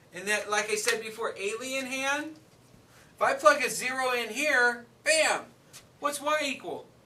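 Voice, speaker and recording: A man speaks in a raised, projected voice at an extremely high pitch, his pace fairly slow. His pitch variation is ordinary, and audible room echo surrounds him. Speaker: math teacher. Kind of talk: classroom lecture.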